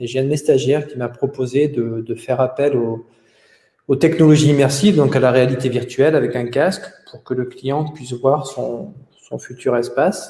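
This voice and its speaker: A somewhat breathy man's voice at medium pitch, moderate in pace, with fairly even intonation. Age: 40s. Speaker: company founder. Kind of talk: interview. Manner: hesitant, frequent 'euh' fillers.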